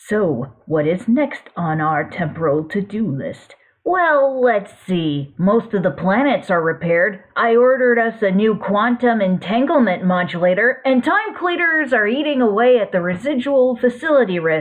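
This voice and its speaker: This female-sounding voice uses a put-on character voice at a fairly high pitch and a moderate pace. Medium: read story. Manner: excitable, fussy.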